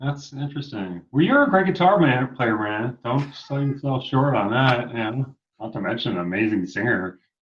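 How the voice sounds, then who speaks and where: An unremarkable speaking voice from a man with an American accent, medium pitch, lively intonation, a moderate pace and hardly any pauses. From Long Island, New York. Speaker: rock musician. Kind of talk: casual interview chat. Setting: livestream.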